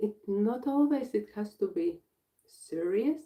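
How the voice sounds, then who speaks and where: With a Latvian accent, a woman speaks at a fairly slow pace. Her tone is dark and mellow. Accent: Latvian accent, non-native English. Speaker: breathwork facilitator and healer. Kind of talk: live workshop introduction. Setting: livestream. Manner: halting.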